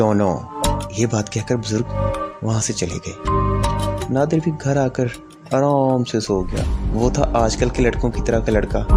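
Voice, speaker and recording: A man speaks, his pitch varying in an ordinary way. Behind him, music plays. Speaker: storyteller / channel host. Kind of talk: horror story narration.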